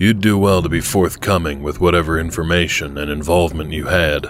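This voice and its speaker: Putting on a gruff character voice, a man talks fairly quickly at a very deep, low pitch over clear background noise. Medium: read story. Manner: gruff, folksy.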